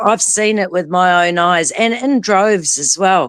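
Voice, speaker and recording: The speaker goes at a very slow pace with ordinary pitch variation, recorded with a dry, close sound and no echo. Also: woman. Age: 50s. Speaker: guest on live stream discussion. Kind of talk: casual chat.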